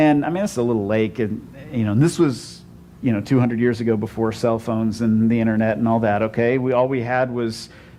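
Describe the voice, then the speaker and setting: Fairly even intonation from a man at medium pitch and a very fast pace, with music in the background. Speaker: pastor. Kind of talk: sermon. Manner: conversational, many repeated 'and, and'.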